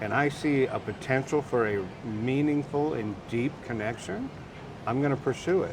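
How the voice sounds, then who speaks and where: Against noticeable background noise, a man with an American accent talks at a moderate pace, his pitch medium and its variation ordinary. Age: 60s. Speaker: interviewee. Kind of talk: casual interview.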